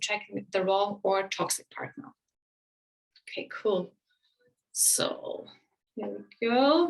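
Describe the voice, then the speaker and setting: A woman with a German accent talks at a fairly slow pace, with fairly high pitch, ordinary pitch variation and vocal fry. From Germany. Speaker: relationship coach. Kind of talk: webinar presentation. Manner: casual with many fillers.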